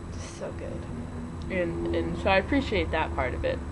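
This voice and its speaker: Fairly slow speech from a woman amid noticeable background noise and audible room echo. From US Midwest. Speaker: vlogger. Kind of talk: casual vlog monologue. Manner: halting, many fillers and repeats.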